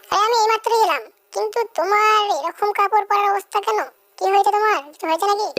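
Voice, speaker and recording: This cartoonish character voice sits at an extremely high pitch. It moves at a moderate pace. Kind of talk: comic overacting. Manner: blunt, crude.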